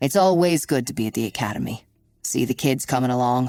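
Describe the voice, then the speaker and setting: The voice is a put-on character voice at a low-to-middle pitch. It moves at a very fast pace. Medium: read story. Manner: easygoing, warm.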